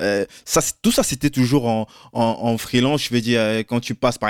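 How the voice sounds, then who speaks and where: Recorded very cleanly against a silent background, a man at a medium pitch comes across with a dry, close sound and no echo. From Cameroon. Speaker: podcast host. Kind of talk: interview.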